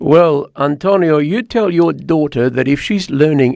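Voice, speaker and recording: In a quiet background, a man with an Australian accent talks fairly slowly, his fairly high voice carrying lively intonation. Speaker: talk radio host. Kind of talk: call-in chat show. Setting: studio.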